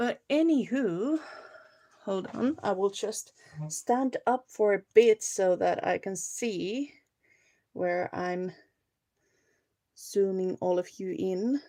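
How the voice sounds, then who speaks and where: A woman with a Finnish accent, medium in pitch, dark and mellow in tone, with lively intonation at a very slow pace broken by long, frequent pauses. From Finland. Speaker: crafting livestreamer. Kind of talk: casual livestream chat and crafting tutorial. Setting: live video stream.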